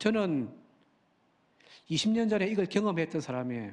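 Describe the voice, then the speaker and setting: A man with a Busan accent speaks at a moderate pace with lively intonation. The background is quiet. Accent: Busan (Gyeongsang). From Busan, South Korea. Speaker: pastor. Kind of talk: sermon. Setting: church.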